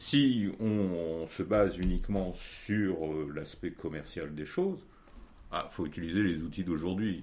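At a very slow pace, a man speaks with a very deep, low pitch and ordinary pitch variation. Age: 50s. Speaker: photo printer. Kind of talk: interview. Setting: at home workshop.

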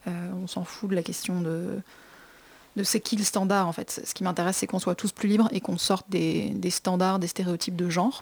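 Medium pitch from a woman, fairly even intonation, and a moderate pace. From Brittany, France. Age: 20s. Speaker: fashion entrepreneur. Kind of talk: radio interview. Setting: studio.

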